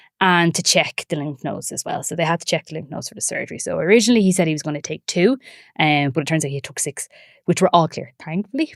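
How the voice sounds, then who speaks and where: A woman with an Irish accent talks at a very fast pace in a fairly low pitch, and the sound is dry and close with no echo. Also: ordinary pitch variation, big swings in loudness, very clean recording, silent background. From Ireland, County Wicklow. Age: 30s. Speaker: breast cancer survivor. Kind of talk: podcast interview answer.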